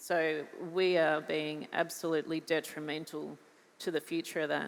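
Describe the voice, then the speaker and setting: A woman with an Australian accent, very deep and low-pitched, in a flat monotone at a moderate pace. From Australia, New South Wales. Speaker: farmer. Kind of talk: panel discussion.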